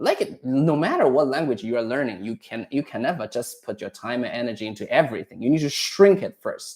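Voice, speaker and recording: A man's medium-pitched voice with a Chinese accent, fairly quick with hardly any pauses and ordinary pitch variation. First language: Mandarin Chinese. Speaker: Chinese language teacher. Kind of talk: casual advice chat. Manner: halting, with restarts.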